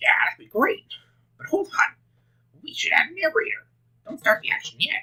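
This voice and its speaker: Putting on a character voice, a man speaks at an extremely high pitch at a moderate pace, with long, frequent pauses. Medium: game stream.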